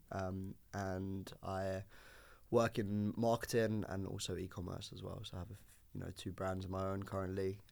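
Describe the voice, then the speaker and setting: Delivered at a moderate speed, the voice keeps a monotone, flat intonation. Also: man. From Singapore, Dubai, Spain, then UK. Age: 20s. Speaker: fashion photographer. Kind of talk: casual podcast interview. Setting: recording studio. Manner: casual, with fillers and restarts.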